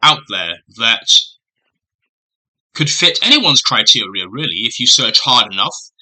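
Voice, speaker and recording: The speaker is a man. He has a British accent. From Britain. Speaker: booktuber. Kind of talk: casual vlog monologue. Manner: hesitant with frequent fillers.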